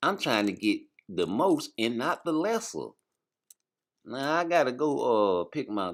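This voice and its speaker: A man is speaking. His tone is relaxed. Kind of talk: informal. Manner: casual, relaxed.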